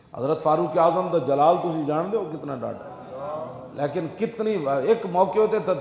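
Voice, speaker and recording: A man's high-pitched voice, with ordinary pitch variation, comes through noticeable background noise. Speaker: Islamic scholar. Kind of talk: religious sermon.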